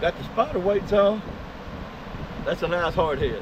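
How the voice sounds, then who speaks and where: A high-pitched man's voice at a moderate pace, with noticeable background noise. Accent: Texan. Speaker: fishing vlogger. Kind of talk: casual outdoor vlog narration. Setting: outdoors on the beach.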